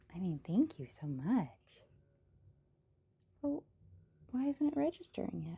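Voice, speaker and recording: Speaking at a fairly slow pace with long, frequent pauses, a woman uses a medium-pitched, somewhat breathy voice with a dark, mellow tone and very wide pitch swings. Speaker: livestreamer painting pottery. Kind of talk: casual live stream chat. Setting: live stream at home.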